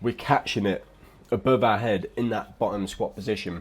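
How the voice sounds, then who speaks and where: Mumbling in a relaxed tone, a speaker with an English accent moves at a moderate pace. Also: man. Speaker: fitness vlogger. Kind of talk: casual voiceover commentary. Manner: mumbling, occasional stutter.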